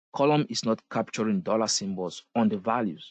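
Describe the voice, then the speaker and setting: A man with a non-native accent, in dry, close sound with no echo. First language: not English. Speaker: SQL instructor. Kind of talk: live online class lecture. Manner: repetitive, emphatic.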